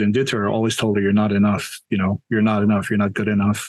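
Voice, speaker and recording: A man speaks with a Hawaiian accent. His voice sits fairly low in pitch. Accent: Hawaiian local English. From Hawaii, Waianae, Oahu. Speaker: storyteller and tour business owner. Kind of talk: interview Q&A on video call. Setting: video call. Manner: conversational, hesitant fillers.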